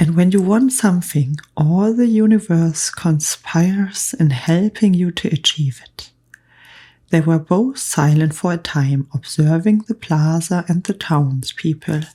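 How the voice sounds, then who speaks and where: Soft-spoken and somewhat breathy, a woman whispers at a fairly slow pace. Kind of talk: audiobook reading. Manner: soft-spoken, whispered, calm.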